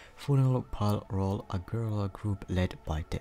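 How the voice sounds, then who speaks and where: Over music in the background, a man speaks quietly at a fairly slow pace. His pitch is fairly low and his intonation fairly even. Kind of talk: casual anime list commentary.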